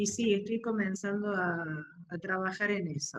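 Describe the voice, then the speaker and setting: Pitch variation stays ordinary while the words unfold at a fairly slow pace. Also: woman. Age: 60s. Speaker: workshop participant. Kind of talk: casual group discussion. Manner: halting, many fillers.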